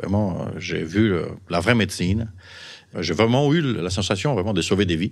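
A man with an Italian accent speaks at a moderate pace with ordinary pitch variation, on a very clean recording with a silent background. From Sardinia, Italy. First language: Italian (speaking French). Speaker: physician and pharmaceutical executive. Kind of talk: interview storytelling. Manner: halting.

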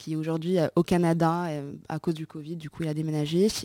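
On a very clean recording with a silent background, a woman speaks at a moderate pace with a fairly low pitch and a dark, mellow tone. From Morocco. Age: 20s. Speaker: entrepreneur. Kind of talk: casual chat.

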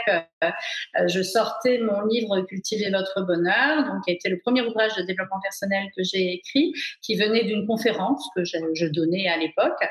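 This woman has an ordinary speaking voice with a medium pitch. She talks at a moderate pace with ordinary pitch variation. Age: 40s. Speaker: personal development author and speaker. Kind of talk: casual interview. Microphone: unstable connection, video freezing.

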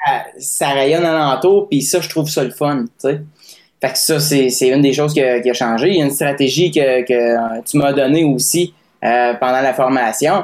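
This man talks at a fairly slow pace, with fairly high pitch and ordinary pitch variation. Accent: Quebec. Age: 20s. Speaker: singer-songwriter. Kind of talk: casual interview testimony.

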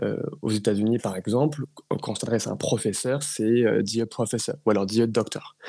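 This man has a dark, mellow tone at medium pitch. He speaks at a moderate pace. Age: 20s. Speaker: entrepreneur running a speakers agency. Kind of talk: interview. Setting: studio.

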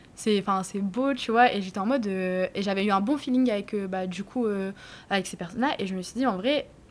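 This woman has a medium-pitched voice with ordinary pitch variation. She speaks at a moderate pace. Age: 20s. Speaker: restaurant owner. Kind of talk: casual chat. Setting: in her restaurant. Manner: casual, hesitant with fillers.

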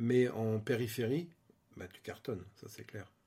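Speaking at an unhurried, moderate rate, the man keeps his pitch in the middle range. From Île-de-France (Vallée de Chevreuse). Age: 40s. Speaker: interior designer and property investor. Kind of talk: interview. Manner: casual, hesitant with fillers.

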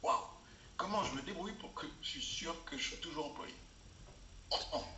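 A high-pitched man is heard with audible room echo and noticeable background noise. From Africa. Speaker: executive coach. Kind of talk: interview. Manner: hesitant, frequent fillers.

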